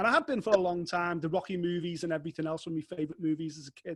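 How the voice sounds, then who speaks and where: In a Liverpool accent, a man talks at a very fast pace with a high pitch. The sound is dry and close with no echo, against a quiet background. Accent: Liverpool (Scouse) English. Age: 40s. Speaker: fight sports journalist. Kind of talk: casual interview chat. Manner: animated.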